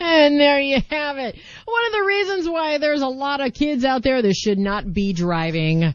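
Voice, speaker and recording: A woman talks at a high pitch with very wide pitch swings. Noticeable background noise can be heard. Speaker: podcast host. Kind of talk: casual chat. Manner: animated.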